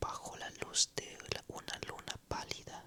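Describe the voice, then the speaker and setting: Whispered words come very slowly against noticeable background noise. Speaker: ASMR storyteller. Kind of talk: whispered ASMR story narration. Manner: whispered, soft, slow.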